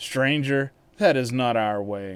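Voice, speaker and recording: Ordinary pitch variation runs through this put-on character voice. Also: man. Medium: read story.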